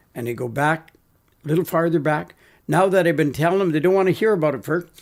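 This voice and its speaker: Using a normal speaking voice, this man has a fairly high pitch, lively intonation and a fairly quick pace. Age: 60s. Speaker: natural health practitioner. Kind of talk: interview.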